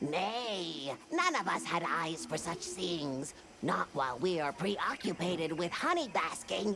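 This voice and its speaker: In a put-on character voice at middle pitch, the speaker talks at a fairly slow pace over clear background noise. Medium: video game. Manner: quaint broken speech.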